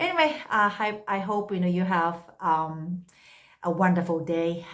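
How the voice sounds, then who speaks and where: A woman's fairly low voice in a Japanese accent at a fairly slow pace. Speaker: English tutor. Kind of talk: unscripted casual talk to camera. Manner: hesitant, many fillers.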